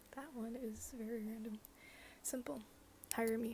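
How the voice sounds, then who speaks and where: A soft-spoken woman with an American accent talks at a fairly high pitch and a moderate pace, her intonation fairly even. Noticeable background noise can be heard. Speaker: ASMR YouTuber. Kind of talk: ASMR Q&A, casual talk to camera. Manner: soft-spoken, casual, humorous.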